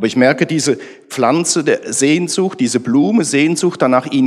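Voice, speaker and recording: This man has a normal speaking voice, talking at a moderate pace with lively intonation. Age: 50s. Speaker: church team member. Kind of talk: testimony.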